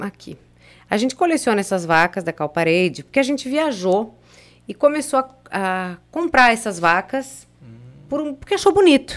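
A woman with a fairly high pitch talks at a moderate pace, her voice making very wide pitch swings between long, frequent pauses. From Blumenau, Santa Catarina, Brazil. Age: 40s. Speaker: radio presenter. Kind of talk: casual chat.

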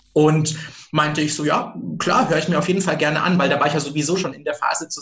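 Noticeable background noise accompanies a man speaking at a very fast pace with a fairly high pitch. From rural Germany. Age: 30s. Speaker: HR recruiter, former hotel worker. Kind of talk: interview.

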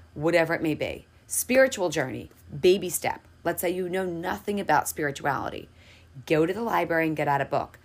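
A woman speaks at a moderate pace, her pitch fairly low with some vocal fry. The recording is very clean, with a silent background. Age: 30s. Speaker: podcast host and hairstylist. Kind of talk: motivational monologue. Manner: casual, chatty.

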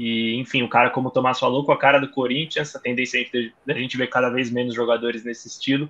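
A medium-pitched male voice is heard. It stays monotone and flat in intonation. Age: young. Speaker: sports journalist. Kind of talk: casual chat.

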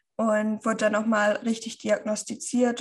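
Fairly high pitch, a somewhat breathy quality, and a moderate pace from a woman. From northern Germany, Schleswig-Holstein. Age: 30s. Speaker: keto nutrition influencer. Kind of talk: interview.

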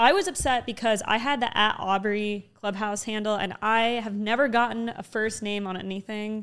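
In a normal speaking voice, a woman with a fairly high pitch talks at a moderate pace with hardly any pauses. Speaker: podcast host. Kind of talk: casual interview chat. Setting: in-person studio.

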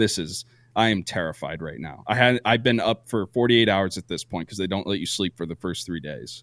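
A man with an American accent and a very deep, low pitch, in a very clean, dry, close recording with no echo and a silent background. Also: ordinary pitch variation, fairly quick pace. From Vermont, US. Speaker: podcast co-host and Navy veteran. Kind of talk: casual chat.

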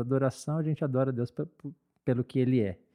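A man speaks at a fairly quick pace in a dark, mellow tone, recorded dry and close with no echo. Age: 40s. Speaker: church worship leader. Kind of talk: casual chat.

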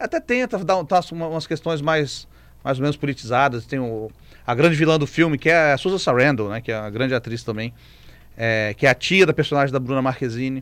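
Talking at a fairly quick pace, a man with a Brazilian accent uses a fairly high pitch and ordinary pitch variation. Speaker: film critic. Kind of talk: radio film review segment. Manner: animated, conversational.

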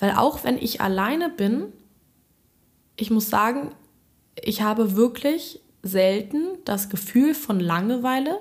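Pausing long and often, a woman with a fairly high pitch and a somewhat breathy voice talks at a fairly slow pace with lively intonation. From Berlin. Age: 20s. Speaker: music student. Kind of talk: casual chat. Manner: halting.

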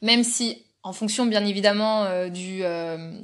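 With flat, monotone intonation, a woman talks at a medium pitch. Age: 20s. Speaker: zookeeper. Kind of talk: interview. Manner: halting.

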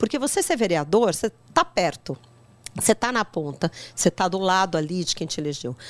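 A woman with a plain, everyday voice speaks at a fairly quick pace, with medium pitch and lively intonation. The recording is very clean, with a silent background and a dry, close sound that has no echo. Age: 50s. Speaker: politician. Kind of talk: podcast interview.

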